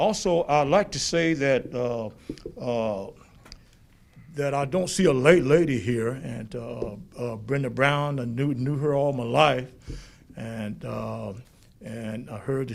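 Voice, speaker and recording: The loudness swings widely, while the pitch varies in an ordinary way. Audible room echo surrounds the voice. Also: man. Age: 70s. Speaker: public commenter at council meeting. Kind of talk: public comment. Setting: city council meeting. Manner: halting, many fillers and repeated words.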